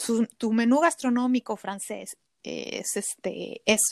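This is a woman with an unremarkable speaking voice and a fairly high pitch. Her pitch variation is ordinary, and the sound is dry and close with no echo. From Mexico City. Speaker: cook. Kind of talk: casual interview.

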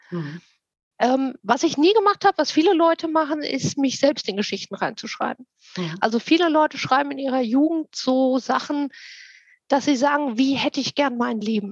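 A woman speaks at a moderate pace in a high voice with lively intonation, the sound dry and close with no echo. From Germany, Frankfurt am Main. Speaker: fantasy author. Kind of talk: interview.

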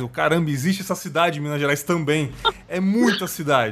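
A man speaks in an unremarkable speaking voice, his pitch varying in an ordinary way as he keeps a moderate pace. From São Paulo city, Brazil. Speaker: podcast host. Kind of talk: casual interview chat.

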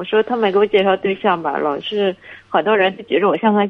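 At a fairly quick pace, a woman with a normal speaking voice talks at a medium pitch. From Shandong, Linyi. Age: 30s. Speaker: caller. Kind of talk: call-in advice talk.

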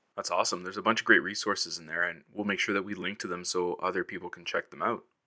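A man's bright, sharp tone at a very fast pace. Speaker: podcast co-host. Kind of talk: podcast interviewing and intro.

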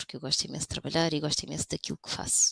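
A woman speaks at a very fast pace in a dry, close sound with no echo. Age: 40s. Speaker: lawyer on sick leave with burnout. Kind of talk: personal testimony in casual interview.

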